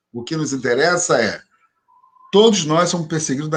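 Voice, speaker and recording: Music plays in the background. The speech moves at a fairly quick pace with ordinary pitch variation. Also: man. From Rio de Janeiro, Brazil. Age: 60s. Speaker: religious leader and professor. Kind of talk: interview conversation.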